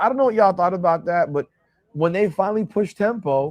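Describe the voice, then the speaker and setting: The man's voice sits at a high pitch with ordinary pitch variation. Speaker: sports livestream host. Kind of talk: casual livestream commentary. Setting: hotel room livestream. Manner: animated; loud.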